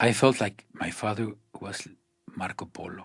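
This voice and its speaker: A man whispers at a fairly slow pace. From Mexico. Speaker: photographer. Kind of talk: scripted narration. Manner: soft-spoken.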